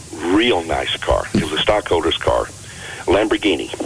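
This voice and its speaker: With an American accent, a man talks at a fairly quick pace over noticeable background noise. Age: 60s. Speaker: health and fitness author. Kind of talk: radio interview.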